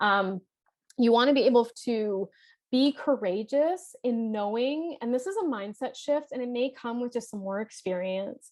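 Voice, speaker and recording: A woman with a Canadian accent speaks loudly at a high pitch with lively intonation. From Canada, Toronto (Scarborough). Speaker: life and leadership coach. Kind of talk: workshop presentation. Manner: fast.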